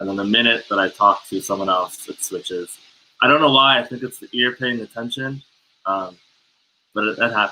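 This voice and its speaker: Talking at a fairly quick pace, a man with an American accent has a bright, sharp tone and ordinary pitch variation. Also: medium pitch for a man. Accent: sounds American, South African with family. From South Africa. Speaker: guest, son of a guest. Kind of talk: casual chat.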